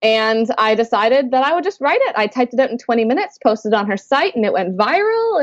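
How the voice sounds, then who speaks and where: A woman with a slight Canadian accent at a very fast pace, with very wide pitch swings. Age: 20s. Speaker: author. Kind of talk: interview.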